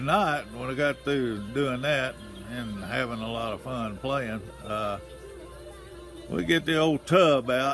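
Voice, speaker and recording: A man's medium-pitched voice at a fairly slow pace, ordinary pitch variation, music in the background. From Tennessee. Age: 80s+. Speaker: retiree reminiscing about childhood. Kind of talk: casual talk to camera.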